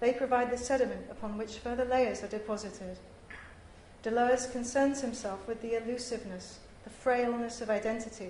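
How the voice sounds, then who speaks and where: Delivered at a fairly quick pace in a monotone, flat intonation, the speech comes with noticeable background noise and audible room echo. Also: woman, fairly high pitch for a woman. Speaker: visual artist giving academic paper. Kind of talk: conference paper reading. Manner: formal.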